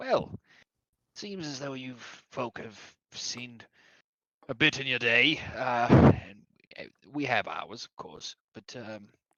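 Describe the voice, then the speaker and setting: In a raspy put-on character voice of low-to-middle pitch, the speaker goes at a fairly slow pace with long, frequent pauses. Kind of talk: folksy fantasy speech. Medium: actual play. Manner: formal, hesitant.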